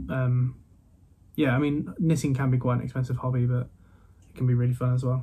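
A man with a slight Midlands accent speaks at a moderate pace and a medium pitch. His dark, mellow tone is somewhat breathy, and his intonation is fairly even. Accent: English Midlands, light. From Midlands, England. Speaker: podcast host. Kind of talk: casual interview chat. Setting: remote recording with older microphone.

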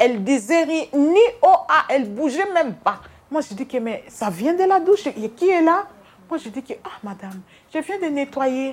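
Her pitch is high and swings very widely as this woman speaks. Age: 50s. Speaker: hospital cleaner. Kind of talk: interview testimony. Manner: halting.

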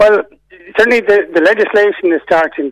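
A man with an Irish accent in a dry, close sound with no echo. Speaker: insurance reform campaigner. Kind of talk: radio interview.

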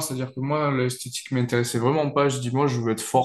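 Noticeable background noise sits behind a man who talks in a medium pitch with monotone, flat intonation. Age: 20s. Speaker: powerlifting athlete and coach. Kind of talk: interview.

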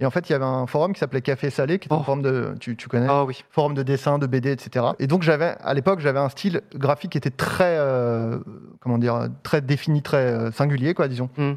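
A man speaks in an ordinary speaking voice. His pitch is fairly high. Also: ordinary pitch variation, fairly quick pace. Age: 30s. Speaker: comedian and director. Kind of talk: casual chat.

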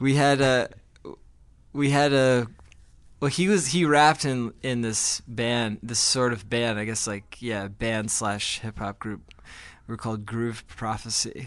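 A man with an American accent speaks in a normal speaking voice at a fairly slow pace. His pitch is medium, with ordinary variation, against a quiet background. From New Jersey (Glen Ridge). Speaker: rock band frontman. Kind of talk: interview.

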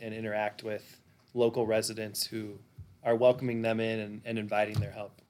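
A man of medium pitch talks at a moderate pace. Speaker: podcast host. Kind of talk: interview.

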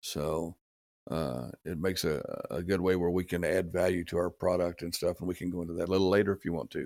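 Over a silent background on a very clean recording, a man speaks at a very fast pace with fairly even intonation. His voice is very deep and low, with vocal fry. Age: 60s. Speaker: pecan farmer. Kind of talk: casual interview. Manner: halting, filler-heavy.

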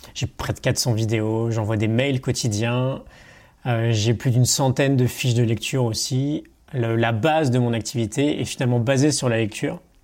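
This man talks at a moderate pace with a medium pitch. His intonation is fairly even and his loudness very even. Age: 30s. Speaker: online coach and entrepreneur. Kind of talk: casual interview. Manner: hesitant, with fillers.

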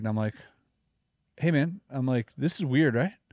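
Here a man talks with a Canadian accent. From Canada. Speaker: podcast host, magician and YouTuber. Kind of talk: casual chat. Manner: animated.

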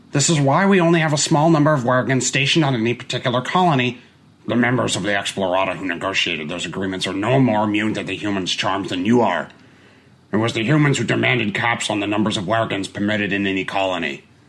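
A man uses a put-on character voice at medium pitch. He talks at a very fast pace. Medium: audio drama. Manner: intense, persuasive.

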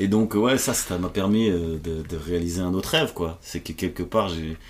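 A man's very deep, low voice moves at a moderate pace with ordinary pitch variation. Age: 40s. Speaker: comedian. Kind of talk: casual chat. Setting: at home.

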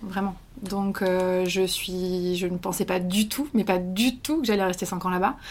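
Fairly even intonation runs through a woman's medium-pitched voice. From France. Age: 20s. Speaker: journalist. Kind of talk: interview. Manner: hesitant.

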